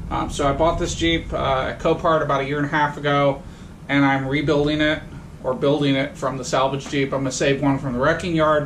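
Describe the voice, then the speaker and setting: Monotone, flat intonation from a male voice, light background noise behind it. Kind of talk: casual tutorial vlog. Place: garage. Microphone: camera far.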